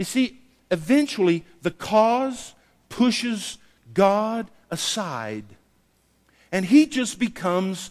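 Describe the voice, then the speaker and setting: A man speaks at a very slow pace. His pauses are long and frequent. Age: 70s. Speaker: pastor. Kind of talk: sermon. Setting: church, livestreamed to a small in-person audience.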